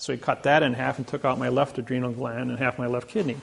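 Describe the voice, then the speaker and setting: A man with a Midwestern US accent, a medium pitch and a very fast pace. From Indiana. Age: 60s. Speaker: lecturer. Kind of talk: lecture.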